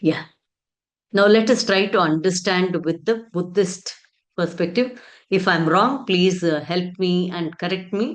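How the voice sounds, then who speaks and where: A woman with a Telugu accent talks at a fairly slow pace. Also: medium pitch for a woman, ordinary pitch variation. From India, Karnataka. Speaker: education speaker. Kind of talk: conference talk.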